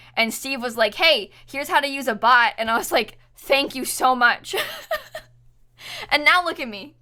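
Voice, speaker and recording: A woman with an American accent speaks in a raised, projected voice at a high pitch, with lively intonation and big swings in loudness. She keeps a moderate pace but leaves long, frequent pauses. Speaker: Twitch streamer. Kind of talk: live stream casual chat.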